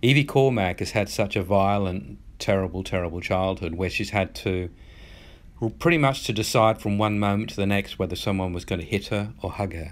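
A man with an Australian accent speaks at a fairly quick pace. His pitch is fairly low, with ordinary variation. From rural Australia. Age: 50s. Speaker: author. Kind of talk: interview.

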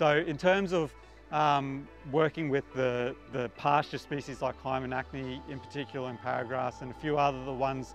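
Faint music plays in the background as a man talks at a moderate pace with fairly even intonation, the sound dry with no echo. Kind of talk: interview answer. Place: waterside. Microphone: lapel.

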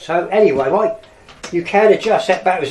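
A man speaks against noticeable background noise. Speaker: camera hobbyist vlogger. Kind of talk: tutorial. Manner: halting.

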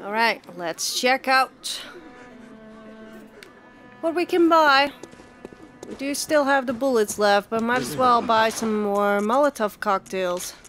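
A woman at a fairly high pitch, with lively intonation, a very slow pace and long, frequent pauses, over music in the background. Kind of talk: gameplay commentary. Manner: casual, reactive.

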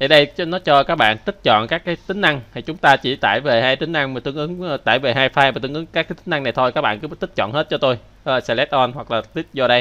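This man talks very fast with hardly any pauses, in a fairly high pitch with ordinary pitch variation. His tone is bright and sharp, with a dry, close sound and no echo. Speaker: programming instructor. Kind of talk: tutorial.

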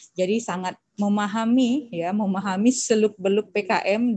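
A woman's somewhat breathy voice at a fairly slow pace, with fairly even intonation and a quiet background. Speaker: moderator. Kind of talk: formal event moderation. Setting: video call. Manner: many filler hesitations. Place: home room. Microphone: headset.

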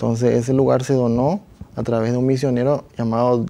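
His tone dark and mellow, a man talks with fairly even intonation. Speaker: talk show guest. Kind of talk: interview answer. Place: studio. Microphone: lapel.

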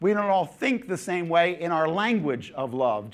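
The man has an American accent, and the background stays quiet. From New Jersey. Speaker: pastor and Bible teacher; pastor, Bible teacher. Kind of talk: seminar lecture. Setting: conference hall with audience. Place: church. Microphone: lapel.

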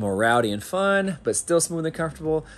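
Faint music plays in the background. A man speaks over it at a fairly quick pace. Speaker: car hobbyist vlogger. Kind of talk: casual vlog chat. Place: garage. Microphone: phone near.

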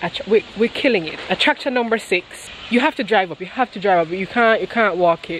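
Delivered at a moderate pace with ordinary pitch variation, the speech has a dry sound with no echo and light background noise. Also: woman. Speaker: travel vlogger. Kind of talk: casual vlog chat. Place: garden. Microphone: phone near.

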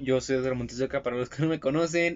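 A man is talking here. He uses ordinary pitch variation. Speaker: car vlogger. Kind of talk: casual vlog chat. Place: car. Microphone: phone near.

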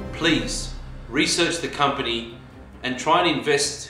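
Clear music plays behind a man talking at a moderate pace, with audible room echo. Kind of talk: prepared address to viewers. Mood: earnest, calm.

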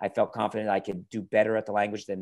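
A man with an American accent at a very fast pace, over a quiet background. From New York area. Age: 50s. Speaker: car YouTuber. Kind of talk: interview. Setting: video call. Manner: enthusiastic. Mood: relaxed, friendly. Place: home room. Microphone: earbuds.

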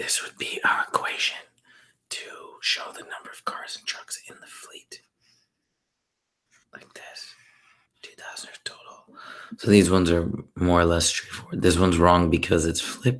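A whispered voice, broken by long, frequent pauses. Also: moderate pace. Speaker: math tutor. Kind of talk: tutorial. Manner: whispering.

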